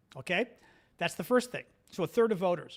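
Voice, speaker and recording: Over a silent background in a very clean recording, a man speaks with lively intonation. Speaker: political commentary host. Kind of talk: live stream commentary.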